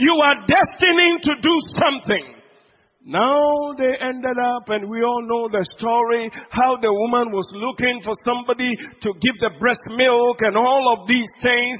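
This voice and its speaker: A man with a Ghanaian accent and an extremely high pitch talks in an animated tone at a fairly slow pace, with ordinary pitch variation. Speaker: preacher. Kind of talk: sermon. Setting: church.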